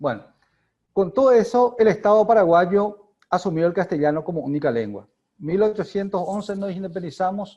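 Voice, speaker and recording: A man with a high, dark and mellow voice speaks at a moderate pace with ordinary pitch variation. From Paraguay. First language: Guarani (speaking Spanish). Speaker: academic speaker on linguistics. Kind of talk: lecture. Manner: halting.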